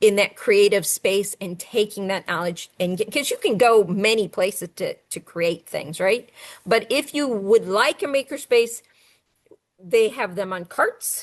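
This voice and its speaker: At a fairly slow pace, a woman talks in an ordinary speaking voice with a medium pitch and ordinary pitch variation. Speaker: STEM coordinator and educator. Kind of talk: webinar presentation.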